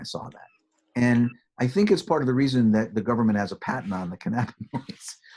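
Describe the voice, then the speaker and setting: Talking fairly quickly, a man keeps to a medium pitch. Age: 60s. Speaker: psychiatrist and pain specialist. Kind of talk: interview conversation. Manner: hesitant, with many fillers.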